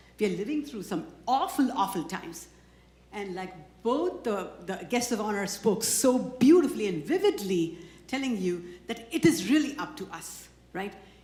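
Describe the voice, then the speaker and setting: Amid audible room echo, a woman at a fairly high pitch speaks at a moderate pace, her pitch swinging very widely and her loudness shifting a lot. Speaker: community organization leader presenting awards. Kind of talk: award ceremony speech. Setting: stage with audience.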